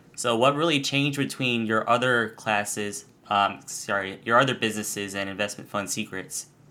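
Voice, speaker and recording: On a very clean recording with a silent background, a man with a fairly low pitch and a bright, sharp tone talks at a moderate pace with ordinary pitch variation. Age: 20s. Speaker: podcast host. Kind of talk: casual interview.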